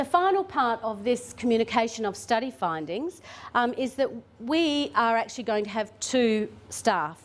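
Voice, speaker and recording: On a very clean recording with a silent background, a woman with an Australian accent speaks with very wide pitch swings. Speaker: government tourism official presenting. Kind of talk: conference presentation. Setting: conference room with audience. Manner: fast.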